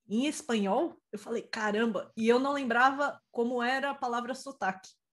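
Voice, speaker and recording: At a moderate pace, a woman with a high pitch uses ordinary pitch variation. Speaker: IT professional and mentor. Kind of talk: live-stream interview.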